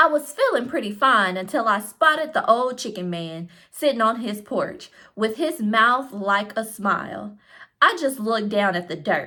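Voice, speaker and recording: In a put-on character voice with a Southern US accent, the speaker drawls at a moderate pace with lively intonation. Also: woman, fairly high pitch for a woman. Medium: read story. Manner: folksy, drawling.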